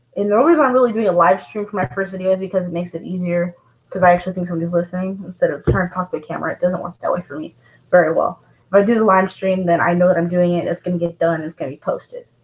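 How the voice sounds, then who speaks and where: Talking at a very fast pace, a woman uses a medium pitch, a somewhat breathy voice and fairly even intonation. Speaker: vlogger with service dog. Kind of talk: live stream monologue. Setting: live stream to camera. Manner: halting.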